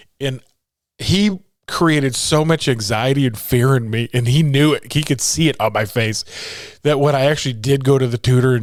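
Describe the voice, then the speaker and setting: Speaking at a moderate pace, a man of medium pitch has an animated tone and ordinary pitch variation. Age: 50s. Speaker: motivational speaker and podcast host. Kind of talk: casual monologue.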